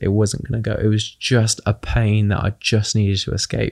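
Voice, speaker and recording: A man with a British accent, monotone and flat, in a very clean recording with a silent background and a dry, close sound with no echo. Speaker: charity fundraiser and community advocate. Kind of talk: casual interview conversation.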